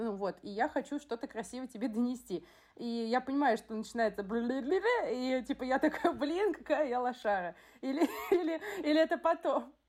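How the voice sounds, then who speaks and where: A woman's high-pitched voice with lively intonation at a moderate pace, noticeable background noise behind her. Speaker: teacher in education, podcast co-host. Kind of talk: casual chat. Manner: blunt, abrupt.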